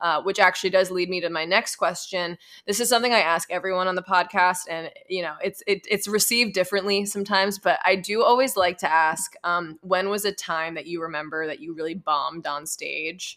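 A woman's bright, sharp voice, fairly quick, with ordinary pitch variation, on a very clean recording with a silent background. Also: medium pitch for a woman, hardly any pauses. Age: 20s. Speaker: podcast host and new comedian. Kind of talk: casual interview.

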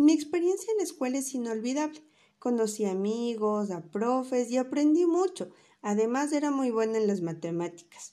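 With a dark, mellow, warm tone, a woman speaks at a moderate pace in a high pitch that makes very wide swings. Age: 30s. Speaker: primary school teacher. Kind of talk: autobiographical talk to children. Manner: warm, child-directed.

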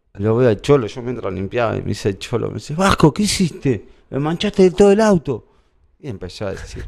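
Very wide pitch swings run through this man's fairly quick speech. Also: medium pitch for a man, big swings in loudness. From Argentina, La Plata. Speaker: kit manager for a sports club. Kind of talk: casual interview, anecdotes. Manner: halting, repetitive.

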